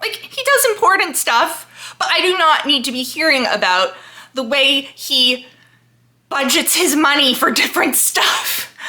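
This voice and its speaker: Her voice is high, raised and projected. This woman speaks at a moderate pace with very wide pitch swings. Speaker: book vlogger. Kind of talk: casual chat. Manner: casual, filler-heavy.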